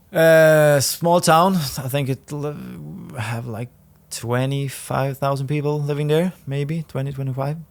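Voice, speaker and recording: A man speaks with a Swedish accent. His intonation stays fairly even. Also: fairly slow pace. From northern Sweden, Härnösand. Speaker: professional footballer. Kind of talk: podcast interview. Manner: halting.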